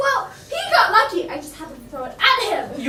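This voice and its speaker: A put-on character voice, high in pitch with very wide pitch swings, at a fairly quick pace, with slight echo and loud background noise. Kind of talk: commedia-style comic overacting. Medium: stage play.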